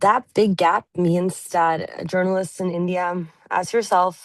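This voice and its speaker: Speaking fairly slowly, a woman with a Norwegian accent uses a fairly low pitch. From Norway. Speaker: journalist. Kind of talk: interview.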